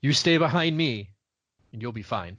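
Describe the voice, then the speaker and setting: A man does a put-on character voice at a medium pitch. He keeps a moderate pace against a quiet background. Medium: actual play. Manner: plain, steady.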